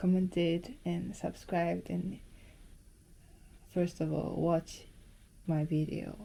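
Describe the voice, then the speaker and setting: A woman speaks at a very slow pace with a Japanese accent. Her fairly low voice has a dark, mellow tone and monotone, flat intonation. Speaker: film photography vlogger. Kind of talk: casual vlog talk. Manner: halting.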